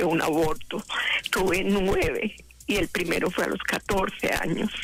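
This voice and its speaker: A fairly slow pace and fairly even intonation, with noticeable background noise. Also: woman. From Colombia. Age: 60s. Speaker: caller. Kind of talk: testimony.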